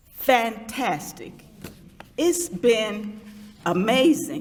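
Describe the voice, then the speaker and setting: Her voice swings very widely in pitch as she talks at a very slow pace, with audible room echo around it. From US South, Georgia (Lithonia). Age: 70s. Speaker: former mayor, speaker. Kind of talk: public speech.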